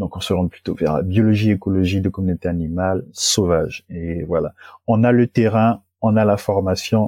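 A man's dark, mellow voice at a moderate pace with fairly even intonation, dry and close with no echo, on a very clean recording with a silent background. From Gabon. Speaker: ecology engineer. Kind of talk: interview. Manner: hesitant, many fillers and repetitions.

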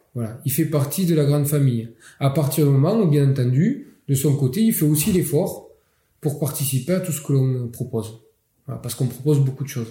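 A man speaks at a fairly quick pace with a Catalan accent. His voice is somewhat breathy, with ordinary pitch variation. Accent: Catalan southern French. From French Catalonia, Perpignan. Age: 40s. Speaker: mayor. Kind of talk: interview. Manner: hesitant, many fillers.

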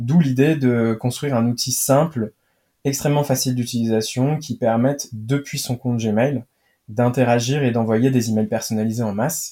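On a very clean recording with a silent background, a man speaks at a medium pitch. His tone is dark and mellow, with fairly even intonation. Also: moderate pace. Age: 20s. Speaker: startup cofounder. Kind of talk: interview.

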